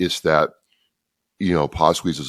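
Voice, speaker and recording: The intonation is monotone and flat, and the sound is dry and close with no echo. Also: man. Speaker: podcaster for veterans. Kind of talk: interview.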